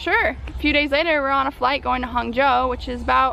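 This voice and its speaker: Noticeable background noise accompanies a woman speaking in an American accent. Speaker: vlogger. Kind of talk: casual vlog monologue. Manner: fast; animated.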